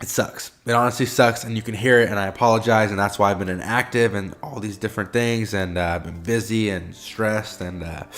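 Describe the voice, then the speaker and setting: Fairly low male voice over background music. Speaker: forex trading YouTuber. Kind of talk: casual vlog-style talk to camera. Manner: animated.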